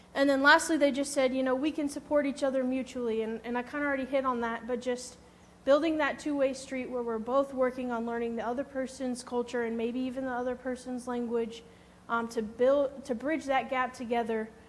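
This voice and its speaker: A woman with an American accent speaks in a high-pitched, monotone, flat delivery, with audible room echo. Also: fairly quick pace. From Missouri, US Midwest. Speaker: HR specialist and conference speaker. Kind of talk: conference presentation.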